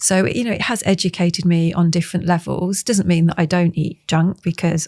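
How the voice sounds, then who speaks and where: A woman's fairly low voice at a fairly quick pace, hardly any pauses, in a dry, close sound with no echo. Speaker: yoga teacher. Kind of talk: casual chat. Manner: calm.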